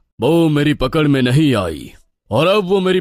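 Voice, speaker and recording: A man's cartoonish character voice, fairly high-pitched, at a moderate pace, in a very clean recording with a silent background. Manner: authoritative, fatherly.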